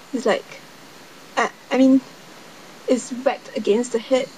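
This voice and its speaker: Against noticeable background noise, a woman with a Singaporean accent speaks at a high pitch. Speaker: vlogger. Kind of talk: casual vlog storytelling. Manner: halting.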